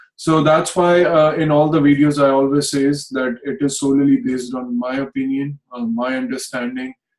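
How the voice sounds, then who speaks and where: The voice moves at a moderate pace with fairly even intonation and hardly any pauses. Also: man, fairly high pitch for a man. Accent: Indian. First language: Hindi. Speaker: astrologer. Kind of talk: video talk. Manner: hesitant, many fillers.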